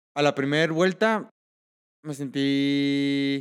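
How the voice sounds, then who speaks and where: A man with a fairly high pitch and fairly even intonation speaks in a plain, everyday voice. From Mexico, Michoacán. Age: 20s. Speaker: triathlete. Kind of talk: interview.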